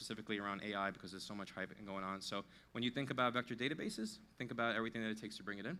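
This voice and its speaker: A medium-pitched man with a New York accent, very fast, with a bright, sharp tone and fairly even intonation. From US Northeast, New York. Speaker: tech company CTO. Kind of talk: conference talk.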